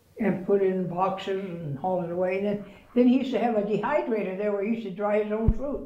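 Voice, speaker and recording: There is audible room echo as a woman speaks at a moderate pace with ordinary pitch variation. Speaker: interviewee. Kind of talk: interview answer. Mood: reminiscent, relaxed. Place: home room.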